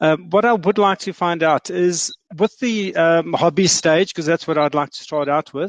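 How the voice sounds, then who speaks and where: With a South African accent, a man talks at a high pitch with ordinary pitch variation and hardly any pauses, in a dry, close sound with no echo against a quiet background. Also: moderate pace. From South Africa, Johannesburg. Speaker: audience member asking questions, small-scale farmer. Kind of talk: audience question. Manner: hesitant with fillers.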